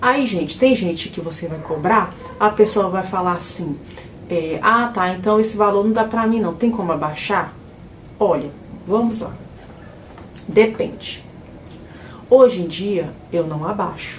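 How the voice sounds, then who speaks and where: A woman at medium pitch and a fairly slow pace, with ordinary pitch variation, long, frequent pauses, noticeable background noise and audible room echo. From Brazil, Minas Gerais (Ribeirão das Neves). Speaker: house cleaner and vlogger. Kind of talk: casual vlog talk to viewers.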